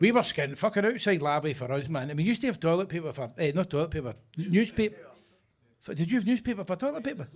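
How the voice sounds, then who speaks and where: Very fast and animated, a man with a Glaswegian accent speaks high for a man, his pitch swinging very widely. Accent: Glaswegian Scottish. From Scotland, Glasgow (Govan). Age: 60s. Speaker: stand-up comedian. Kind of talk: stand-up. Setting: stage with audience.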